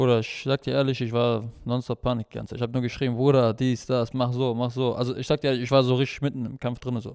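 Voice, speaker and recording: A man speaks at a very fast pace. He leaves hardly any pauses. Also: medium pitch for a man. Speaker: MMA fighter and cornerman. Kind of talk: casual chat. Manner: animated.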